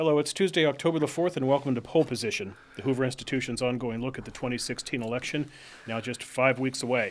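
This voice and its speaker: Very fast speech from a man, medium in pitch and ordinary in pitch variation. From northern Virginia, US. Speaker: podcast host, research fellow. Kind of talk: interview. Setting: studio.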